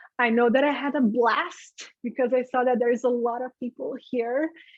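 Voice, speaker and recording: At a high pitch, a woman speaks at a moderate pace. The sound is dry and close, with no echo. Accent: Brazilian. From Brazil, Rio de Janeiro. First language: Portuguese. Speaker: affiliate manager, webinar host. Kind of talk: webinar presentation. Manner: conversational, casual.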